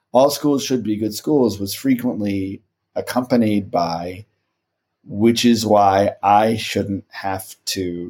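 A man speaks in a plain, everyday voice with an American accent. His pitch varies in an ordinary way. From Los Angeles. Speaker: podcast host and reporter. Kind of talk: interview conversation.

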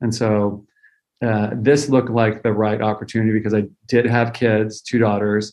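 The voice has an American accent and a monotone, flat intonation. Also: man. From US West Coast (California Central Valley). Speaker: candy company founder. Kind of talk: interview.

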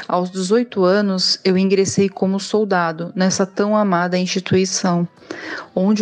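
The speaker talks fairly slowly in a monotone, flat intonation. Noticeable background noise is present. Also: woman. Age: 30s. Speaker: police officer and instructor. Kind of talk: recorded testimony.

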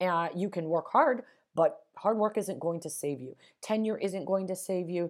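A woman with a plain, everyday voice, medium in pitch, with a General American accent and lively intonation, on a very clean recording with a silent background. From Las Vegas, Nevada, US. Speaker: podcast host, career coach. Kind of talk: solo podcast monologue, advice.

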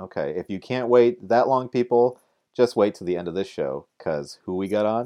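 With a dark, mellow tone, a man speaks at a medium pitch using lively intonation. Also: moderate pace. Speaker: fill-in co-host. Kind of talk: casual chat. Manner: joking, animated.

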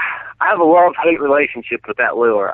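At a moderate pace, a man with an American accent uses a normal speaking voice and ordinary pitch variation. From Colorado (from age 8), born Northern Virginia. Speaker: professional bass angler and fishing guide. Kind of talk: interview.

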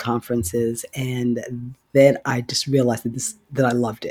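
Monotone and flat in intonation, a man talks at a fairly slow pace in a dry, close sound with no echo. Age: 60s. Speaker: physician. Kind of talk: interview.

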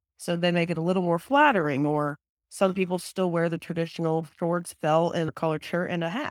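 A woman with an unremarkable speaking voice talks at a fairly quick pace in an American accent. Her pitch is fairly low, with ordinary variation. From Texas. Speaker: professional golfer. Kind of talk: casual interview.

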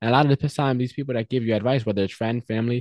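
This man speaks with an American accent at a medium pitch. His intonation stays fairly even. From Mexico, raised in the US. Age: 20s. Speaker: realtor and real estate investor. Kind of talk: casual interview.

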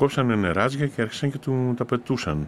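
A man at medium pitch and a moderate pace, on a very clean recording with a silent background. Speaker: former student protester, eyewitness. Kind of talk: interview testimony.

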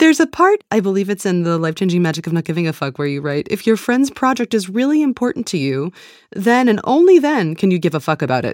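Delivered at a very fast pace with very wide pitch swings, the voice sounds dry and close with no echo. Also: woman, medium pitch for a woman, very clean recording, silent background. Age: 30s. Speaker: podcast host. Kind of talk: interview.

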